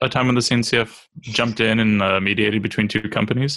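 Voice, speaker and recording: A man talks at a medium pitch with ordinary pitch variation. His tone is bright and sharp. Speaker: cloud native architect. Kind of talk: casual tech panel chat.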